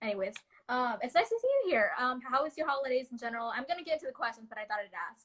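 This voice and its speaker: A woman's high voice with an American accent. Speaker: student leader hosting a live talk. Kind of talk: interview over video call. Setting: video call. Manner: fast.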